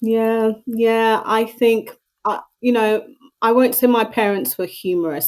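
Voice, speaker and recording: A woman with a British accent, fairly high in pitch, at a fairly slow pace. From Southeast London, England. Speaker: mental health advocate. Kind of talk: interview conversation.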